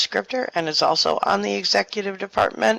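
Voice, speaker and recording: A soft-spoken woman's fairly low voice with very wide pitch swings. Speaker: virtual world co-owner. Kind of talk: community meeting address.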